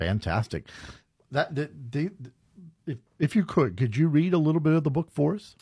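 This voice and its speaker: Speaking at a moderate pace with long, frequent pauses, a man with a fairly high pitch sounds somewhat breathy and uses lively intonation. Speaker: radio host. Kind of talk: casual interview.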